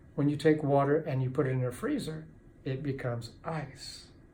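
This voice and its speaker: In a room with audible echo, a man with a fairly high pitch and a dark, mellow tone speaks somewhat breathily at a fairly slow pace. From Kentucky, US. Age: 60s. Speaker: addiction recovery author and speaker. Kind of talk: motivational talk to camera. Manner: animated, with halting restarts.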